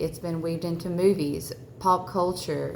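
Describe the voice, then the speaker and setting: Audible room echo surrounds a woman with a Southern US accent, whose very deep, low pitch holds a fairly even intonation. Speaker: religious vlogger. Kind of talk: personal testimony. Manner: halting, many fillers.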